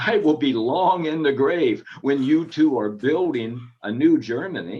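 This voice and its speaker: This man's voice sits at a fairly high pitch. His pitch swings very widely. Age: 70s. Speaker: professor giving interview. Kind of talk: interview.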